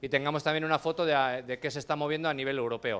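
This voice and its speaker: On a very clean recording with a silent background, a man talks at a very fast pace with fairly even intonation and a fairly high pitch. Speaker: panel moderator. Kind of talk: panel introduction.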